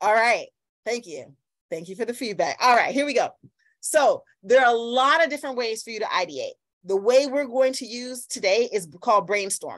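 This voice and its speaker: Against a quiet background, a woman speaks at a high pitch in an animated tone. Her intonation is lively and her loudness swings widely. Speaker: workshop facilitator. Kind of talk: online workshop lecture. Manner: fast when excited; animated, interactive. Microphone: video call.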